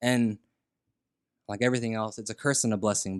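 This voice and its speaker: A man with an American accent and a normal speaking voice talks fairly quickly at a medium pitch, the sound dry and close with no echo. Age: 20s. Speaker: audio engineer and rapper. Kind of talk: casual chat.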